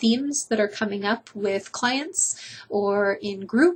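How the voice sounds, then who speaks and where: A woman speaks at a fairly slow pace, somewhat breathy. Her pitch is fairly high, with ordinary variation. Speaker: addiction recovery counselor. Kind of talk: casual monologue to camera. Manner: conversational, unscripted.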